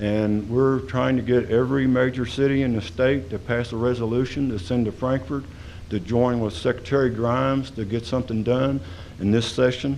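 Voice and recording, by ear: Fairly even in intonation, a man with medium pitch speaks at a moderate pace.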